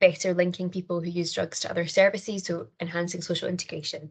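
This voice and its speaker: Delivered at a fairly quick pace, the speech comes with a Scottish accent. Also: woman. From Scotland. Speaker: criminology lecturer and researcher. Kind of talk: conference presentation. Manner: fast.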